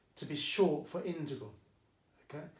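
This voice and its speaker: Audible room echo surrounds the recording. The speaker is a man. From England, Essex. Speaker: maths teacher. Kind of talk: tutorial. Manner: casual, chatty.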